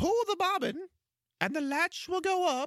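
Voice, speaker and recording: In a put-on character voice, a man speaks at an extremely high pitch. His pace is moderate. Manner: gentle, deceiving.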